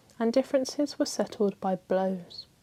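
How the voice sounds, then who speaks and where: A woman's soft-spoken, dark, mellow voice at a moderate pace, on a very clean recording with a silent background. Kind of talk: ASMR bedtime history book reading. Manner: softly spoken, calming.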